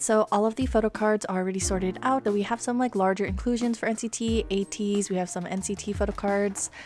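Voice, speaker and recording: A soft-spoken woman talks at a fairly quick pace in a medium pitch, with fairly even intonation. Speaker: photocard collector. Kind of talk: casual talk to camera.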